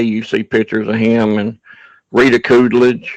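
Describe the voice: Against a quiet background, a man with a medium pitch speaks with an American accent. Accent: redneck Southern.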